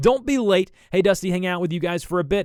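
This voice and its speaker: A man speaks with an American accent. He moves at a fairly quick pace. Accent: Southern US, can tone it down. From US South. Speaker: videographer and YouTuber. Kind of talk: live stream chat and editing tutorial. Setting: live stream at editing computer.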